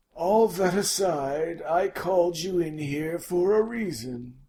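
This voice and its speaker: Putting on a character voice, a man talks at a very slow pace with a high pitch and lively intonation. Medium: audio drama. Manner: warm, genial, avuncular.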